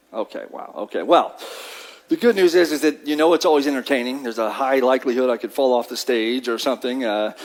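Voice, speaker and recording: Through noticeable background noise, a man at medium pitch speaks very fast with ordinary pitch variation. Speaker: workforce development presenter. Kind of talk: luncheon presentation. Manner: animated.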